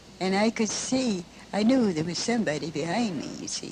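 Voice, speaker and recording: Speaking at a fairly slow pace, a woman with a Midwestern US accent uses lively intonation. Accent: old-fashioned US Midwestern. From Michigan, Lansing. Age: 80s+. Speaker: elderly witness recounting family history. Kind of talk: interview.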